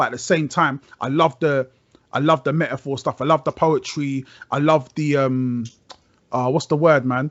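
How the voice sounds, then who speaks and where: With a London accent, a man speaks in a fairly high voice with fairly even intonation. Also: moderate pace. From South London, Brixton. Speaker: rapper. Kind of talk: casual chat. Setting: video call.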